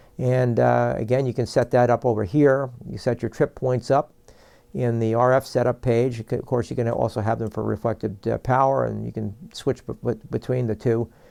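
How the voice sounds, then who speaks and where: A man's dark, mellow, medium-pitched voice with a New York accent and fairly even intonation. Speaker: product presenter for a broadcast equipment maker. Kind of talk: product tutorial. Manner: fast; halting, many fillers.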